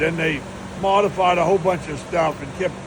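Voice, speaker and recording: There is noticeable background noise as a man speaks at a moderate pace with a fairly high pitch. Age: 80s+. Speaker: retired drag racer. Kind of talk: shop tour explanation.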